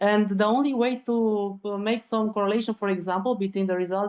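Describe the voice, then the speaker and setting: In a Romanian accent, a woman speaks at a moderate pace with a fairly high pitch over a quiet background. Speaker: land degradation researcher. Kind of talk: online seminar discussion. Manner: halting, searching for words.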